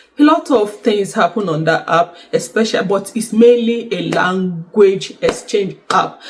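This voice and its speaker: A woman's medium-pitched voice at a fairly slow pace, lively intonation, and noticeable background noise. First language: not French; learned French. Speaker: YouTuber sharing exam prep tips. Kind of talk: casual vlog talk to camera. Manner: hesitant, many fillers.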